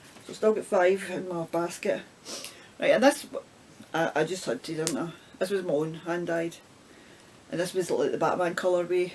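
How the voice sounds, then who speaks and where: Against noticeable background noise, a woman with a Scottish accent talks at a moderate pace in a fairly low voice, with ordinary pitch variation and long, frequent pauses. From Scotland. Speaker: knitting vlogger. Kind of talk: casual talk to camera.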